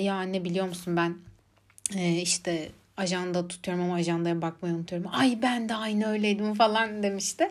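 In a plain, everyday voice of medium pitch, a woman speaks at a moderate pace with fairly even intonation. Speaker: podcaster, psychology student. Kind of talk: casual monologue. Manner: frequent laughter.

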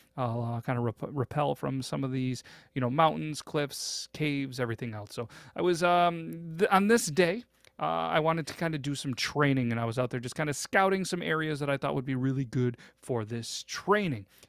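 An unremarkable speaking voice from a man, fairly high in pitch with lively intonation, at a moderate pace, in a very clean recording with a silent background and a dry, close sound with no echo. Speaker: podcast host. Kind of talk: storytelling, retelling a listener's story. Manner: casual, filler-heavy with repeated words.

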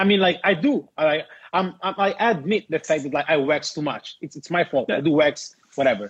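With an Italian accent, a man speaks at a fairly high pitch. His pace is fairly quick and his intonation lively. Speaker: podcast host, rollerblader. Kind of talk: casual chat. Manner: halting.

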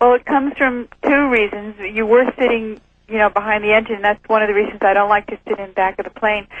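A woman talks at a fairly quick pace with fairly even intonation and a fairly high pitch. Hers is an unremarkable speaking voice. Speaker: former flight attendant. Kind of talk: interview.

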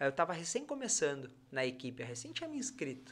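A bright, sharp tone at a moderate pace, on a very clean recording with a silent background. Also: man. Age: 30s. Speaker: triathlete and physiotherapist. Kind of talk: casual chat.

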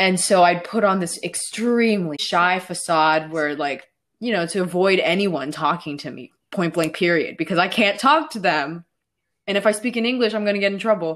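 In an unremarkable speaking voice with an American accent, a woman talks at a moderate pace and medium pitch with ordinary pitch variation, on a very clean recording with a silent background. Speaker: artist. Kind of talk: casual chat.

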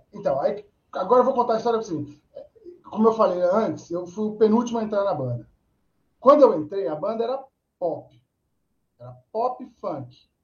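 With lively intonation and a high pitch, a man moves at a moderate pace. His loudness swings widely, and he takes long, frequent pauses. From Brazil, Atibaia (São Paulo state). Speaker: rock musician, band vocalist. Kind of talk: casual chat. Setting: live video stream.

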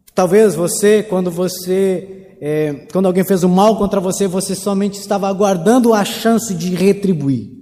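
Over noticeable background noise and audible room echo, a man speaks at a high pitch with fairly even intonation and hardly any pauses. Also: moderate pace. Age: 30s. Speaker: pastor. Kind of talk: sermon.

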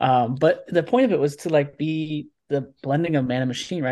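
Fairly quick speech in a Midwestern US accent. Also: quiet background. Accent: General American (Midwestern). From Nebraska, US Midwest. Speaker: privacy advocate and tech founder. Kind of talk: interview.

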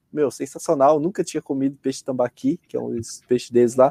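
The voice has a dark, mellow tone and ordinary pitch variation, moving at a fairly quick pace in a dry, close sound with no echo. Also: man. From rural Brazil. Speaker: amateur runner. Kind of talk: interview. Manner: halting.

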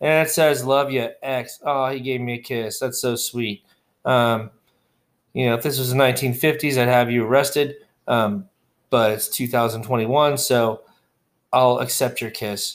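A man with an American accent and an unremarkable speaking voice talks at a medium pitch and fairly slow pace with fairly even intonation, in a very clean recording with a silent background. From Texas. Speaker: podcast host, wargaming reviewer. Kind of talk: casual solo podcast monologue.

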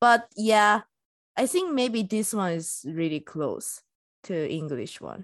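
In a Japanese accent, the speaker talks at a very slow pace with very wide pitch swings. The background is quiet. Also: woman, medium pitch for a woman. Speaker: podcast co-host. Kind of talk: casual chat. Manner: halting.

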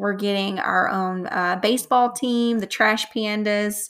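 A woman speaks in a Southern US accent. Her tone is animated and enthusiastic. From North Alabama, US South. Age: 20s. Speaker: podcast host. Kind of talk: casual solo podcast monologue. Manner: animated, enthusiastic.

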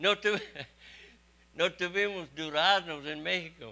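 A raised, projected voice with a bright, sharp tone moves at a very slow pace with ordinary pitch variation. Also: man. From Texas. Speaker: missionary preacher. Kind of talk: sermon.

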